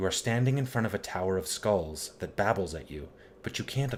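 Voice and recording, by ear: A natural voice reading aloud with lively intonation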